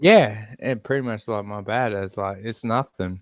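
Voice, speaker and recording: A man with a medium-pitched voice and an Australian accent speaks at a very slow pace. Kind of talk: casual chat.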